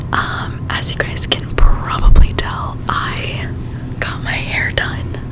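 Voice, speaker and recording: A woman whispers very slowly with noticeable background noise around her. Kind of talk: ASMR hair care product talk. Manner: whispered, soft, casual.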